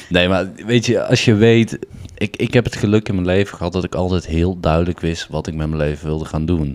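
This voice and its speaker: This man's voice sits very deep and low, with ordinary pitch variation. He talks at a fairly quick pace. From Den Bosch, Netherlands. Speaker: former show jumper. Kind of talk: casual chat. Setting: at the kitchen table.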